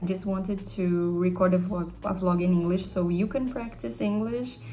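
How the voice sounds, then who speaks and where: A woman with a Brazilian accent speaks at a fairly slow pace, with audible room echo. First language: Portuguese. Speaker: vlogger and English tutor. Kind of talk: casual vlog.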